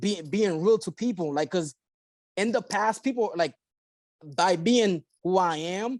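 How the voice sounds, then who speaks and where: A man with a Haitian accent, high-pitched and lively in intonation, in a dry, close sound with no echo against a quiet background. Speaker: insurance agency owner. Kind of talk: podcast interview.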